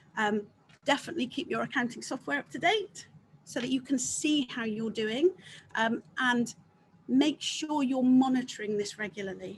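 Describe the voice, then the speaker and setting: In an English accent, a woman speaks at a high pitch and a moderate pace. Her intonation is lively. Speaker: accountant, guest speaker. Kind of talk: business webinar talk. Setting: video call.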